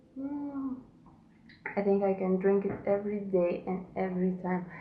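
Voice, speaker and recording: A woman speaks at a fairly slow pace with long, frequent pauses, a medium pitch, ordinary pitch variation and audible room echo. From Lithuania. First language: Lithuanian. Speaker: knitting podcaster. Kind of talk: casual podcast monologue. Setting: at home.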